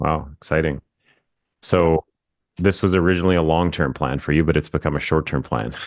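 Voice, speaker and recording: A man with a very deep, low pitch and vocal fry, at a fairly quick pace broken by long, frequent pauses, with very even loudness and fairly even intonation. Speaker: real estate marketing coach. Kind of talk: casual interview.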